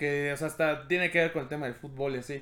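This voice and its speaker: A man speaks with a Mexican accent. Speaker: podcast host. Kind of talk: casual chat.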